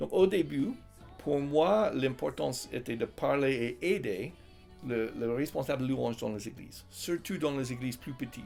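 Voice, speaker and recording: Over music in the background, a man speaks at a fairly slow pace with a medium pitch and lively intonation. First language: English (speaking French). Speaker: Bible college teacher and author. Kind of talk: interview. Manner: hesitant, many fillers.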